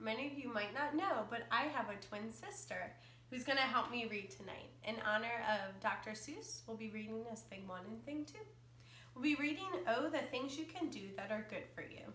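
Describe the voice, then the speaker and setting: A woman speaks at a moderate pace and a fairly high pitch with lively intonation. Audible room echo and light background noise surround her. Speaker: elementary school teacher. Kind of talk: casual talk to camera. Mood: cheerful, playful. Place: home room. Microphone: camera far.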